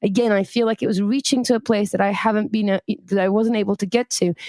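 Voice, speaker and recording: A woman with a non-native accent speaks at a very fast pace in a medium pitch. Her tone is dark and mellow, and the sound is dry and close with no echo. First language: not English. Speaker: podcast co-host. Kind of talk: casual conversation.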